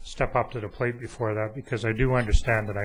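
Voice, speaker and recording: Somewhat breathy, this voice runs along fairly quickly. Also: man. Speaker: town councillor. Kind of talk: council meeting. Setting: town council chambers. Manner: halting, stuttering.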